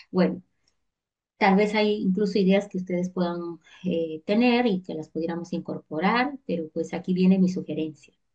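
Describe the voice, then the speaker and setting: A woman with a medium pitch talks at a moderate pace with ordinary pitch variation in a plain, everyday voice. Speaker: teacher. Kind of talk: online lecture.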